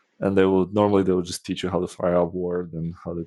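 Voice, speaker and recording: In a Polish accent, a dark, mellow voice speaks in a flat monotone, with a dry, close sound, no echo and a very clean, silent background. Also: man. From Poland. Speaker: software developer and former architect. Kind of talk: podcast interview. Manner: casual, with many fillers.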